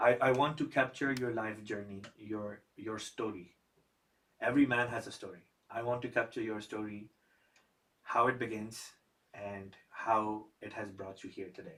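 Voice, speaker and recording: This man's loudness swings widely. His intonation stays fairly even. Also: medium pitch for a man, moderate pace. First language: Urdu. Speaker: podcast host. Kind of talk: podcast interview.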